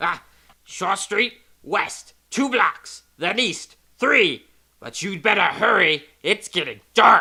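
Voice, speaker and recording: A man speaks at a very slow pace in a put-on character voice. His pitch is high for a man. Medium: audio drama. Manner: nervous.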